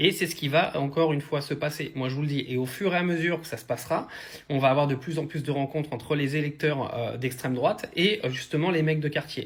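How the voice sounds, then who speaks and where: This man talks at a very fast pace. His voice is fairly high, with ordinary pitch variation. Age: 30s. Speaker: online commentator. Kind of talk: video commentary. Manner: hesitant, many fillers.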